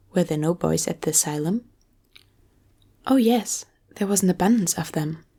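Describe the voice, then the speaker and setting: A soft-spoken, somewhat breathy voice with a gentle, dark, mellow tone and lively intonation. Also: woman, very clean recording, silent background. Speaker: ASMR creator who reads audiobooks aloud. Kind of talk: ASMR book reading, bedtime story. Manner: soft-spoken, gentle.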